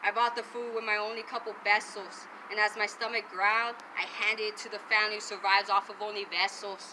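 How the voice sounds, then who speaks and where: A woman talks at a fairly quick pace in a medium pitch. Her intonation is monotone and flat, with noticeable background noise. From Arizona border region. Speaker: spoken word poet. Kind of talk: spoken word poetry performance. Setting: outdoors.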